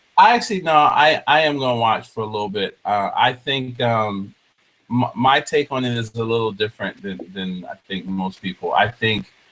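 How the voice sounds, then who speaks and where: A man talks at medium pitch and a moderate pace, with an American accent. It is an unremarkable speaking voice with ordinary pitch variation. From New Jersey. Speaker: talk show host. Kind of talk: casual chat. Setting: video call.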